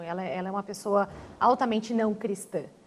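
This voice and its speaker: A woman at a fairly quick pace with fairly even intonation. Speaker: language teacher and church member. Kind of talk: TV panel discussion. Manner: halting, many repetitions.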